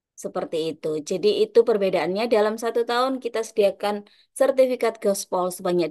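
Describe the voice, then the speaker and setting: Fairly quick and fairly high, a woman's dark, mellow tone comes with lively intonation. The background is quiet. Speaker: teacher association organizer hosting webinar. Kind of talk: webinar opening remarks.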